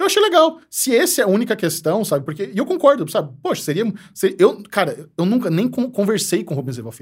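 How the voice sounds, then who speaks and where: A man with a high pitch talks at a fairly quick pace with hardly any pauses, his pitch swinging very widely and his loudness shifting a lot. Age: 30s. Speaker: youtuber and TV series critic. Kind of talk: casual chat.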